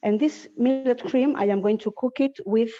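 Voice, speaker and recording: A woman with a Spanish accent speaks in a dark, mellow tone. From Spain. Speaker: cooking teacher. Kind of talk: cooking class. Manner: halting.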